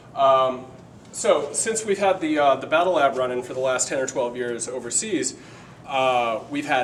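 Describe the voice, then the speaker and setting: Audible room echo colors the recording. Noticeable background noise is also present. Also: man. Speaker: paramedic and nurse instructor. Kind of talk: live lecture demonstration. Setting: live class with audience. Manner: fast.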